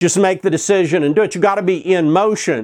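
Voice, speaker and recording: A man with an American accent talks at a fairly quick pace in a high pitch. The sound is dry and close with no echo, against a quiet background. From Oklahoma. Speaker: internet marketer. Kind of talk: direct-to-camera video talk. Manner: casual, with filler words.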